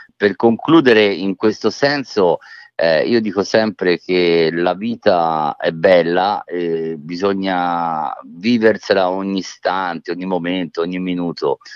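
A man with a very deep, low voice and a slight Tuscan accent talks at a very slow pace. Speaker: author. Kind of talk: interview. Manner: halting, repeats words.

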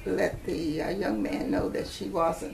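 A woman talks at a very slow pace with light background noise. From Huntsville, Alabama. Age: 80s+. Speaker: retired educator. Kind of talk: oral history interview answer. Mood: calm, reflective storytelling. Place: home room.

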